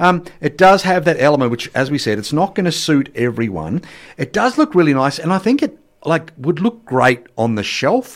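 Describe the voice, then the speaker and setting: In a very clean recording with a silent background, a man with an Australian accent talks at a moderate pace in an animated tone, his fairly high pitch making very wide swings. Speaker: radio host. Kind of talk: radio dj patter. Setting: radio studio. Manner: animated, bright broadcast-style delivery with jokes.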